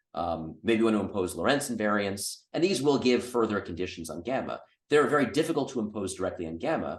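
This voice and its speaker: Very wide pitch swings mark this very fast delivery, with hardly any pauses and a quiet background. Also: man. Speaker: physics lecturer. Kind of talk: Q&A after a lecture. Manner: hesitant, many fillers.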